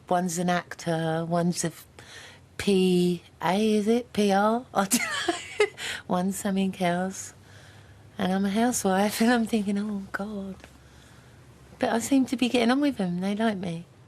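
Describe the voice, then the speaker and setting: With a London accent, a woman speaks at a moderate pace, her pitch showing ordinary variation, pausing often and at length. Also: medium pitch for a woman. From London, England. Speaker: dinner party contestant, housewife. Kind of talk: casual chat.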